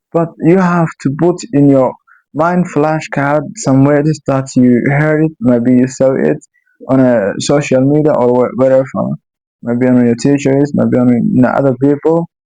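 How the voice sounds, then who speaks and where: A man with a non-native accent, fairly high-pitched, dark and mellow in tone, with ordinary pitch variation and a fairly slow pace. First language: Somali. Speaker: YouTuber. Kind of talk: casual monologue. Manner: halting.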